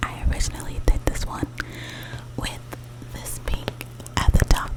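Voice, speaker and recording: A woman whispers over noticeable background noise. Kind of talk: ASMR whisper talk showing paintings. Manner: whispered, repetitive triggery repetition.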